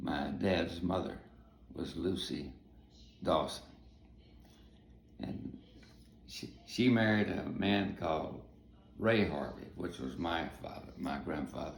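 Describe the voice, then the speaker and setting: The speaker has a Texan accent and vocal fry, talking at a very slow pace with long, frequent pauses. Audible room echo fills the recording. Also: man, very deep, low pitch for a man. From Texas. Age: 80s+. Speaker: navy veteran and family storyteller. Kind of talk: oral history storytelling. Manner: halting.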